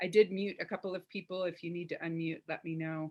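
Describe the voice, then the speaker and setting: Fairly low in pitch with fairly even intonation, a woman talks in an ordinary speaking voice. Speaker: workshop facilitator. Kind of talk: online workshop.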